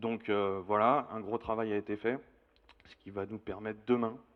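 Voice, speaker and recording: A man talks in a monotone with flat intonation. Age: 30s. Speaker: outgoing municipal councillor. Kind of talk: campaign self-introduction.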